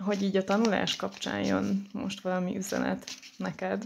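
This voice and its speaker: A woman speaking at a very slow pace. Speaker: tarot card reader. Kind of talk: tarot reading. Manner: hesitant, many filler sounds.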